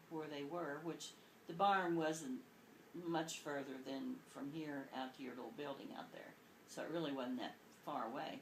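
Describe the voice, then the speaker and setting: Audible room echo surrounds a woman with a very deep, low pitch and lively intonation. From Kentucky, rural. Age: 60s. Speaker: grandmother being interviewed. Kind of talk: oral history interview, storytelling.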